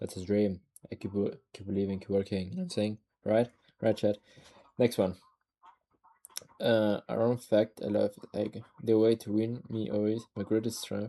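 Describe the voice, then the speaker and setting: A dark, mellow tone and a non-native accent mark this moderately paced speech, which has fairly even intonation and long, frequent pauses. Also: man. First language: not English. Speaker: streamer. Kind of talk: casual livestream chat.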